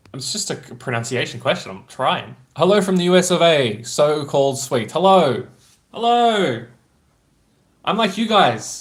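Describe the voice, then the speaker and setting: In an Australian accent, the speaker talks at a fairly slow pace with very wide pitch swings. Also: man, fairly high pitch for a man. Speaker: streamer reading chat.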